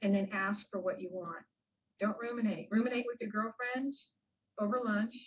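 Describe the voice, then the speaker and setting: Somewhat breathy and fairly high in pitch, a woman speaks at a moderate pace. Her intonation stays fairly even. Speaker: professor. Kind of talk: lecture.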